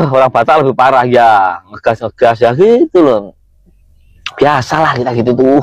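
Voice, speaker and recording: The sound is dry and close, with no echo. A man talks at a moderate pace and medium pitch with ordinary pitch variation. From East Java (Kediri). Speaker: TikTok live streamer. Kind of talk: casual live chat.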